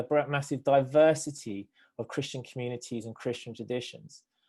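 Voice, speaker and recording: A man's fairly high-pitched voice, dark and mellow in tone, with ordinary pitch variation and a moderate pace against a quiet background. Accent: British. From Britain. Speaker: theologian and nonprofit director. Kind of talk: panel discussion response. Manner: hesitant, many fillers.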